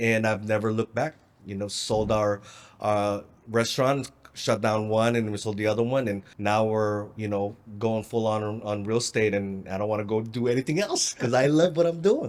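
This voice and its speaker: A man with an American accent talks in a normal speaking voice at a moderate pace, his intonation fairly even. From Philippines, then Southern California from 16. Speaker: real estate investor. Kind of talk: interview.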